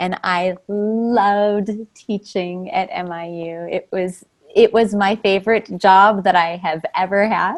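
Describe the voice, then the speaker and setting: Speaking at a very slow pace, a woman with an American accent uses a medium pitch and big swings in loudness. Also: fairly even intonation. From Minnesota, US Midwest. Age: 40s. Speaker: former university teacher. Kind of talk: interview.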